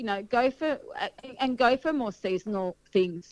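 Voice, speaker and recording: In a dry, close sound with no echo, a female voice talks with ordinary pitch variation. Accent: Australian. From Sydney, Australia. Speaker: wedding caterer. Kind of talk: casual interview.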